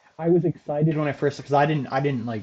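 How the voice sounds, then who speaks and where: A man speaks at a very fast pace and sounds somewhat breathy. His pitch varies in an ordinary way. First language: not English. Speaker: esports podcast host. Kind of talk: casual chat. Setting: livestream.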